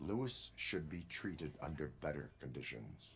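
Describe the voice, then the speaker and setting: A man uses a put-on character voice, very deep and low in pitch. He speaks at a moderate pace over clear background noise. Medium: video game. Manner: flat, measured.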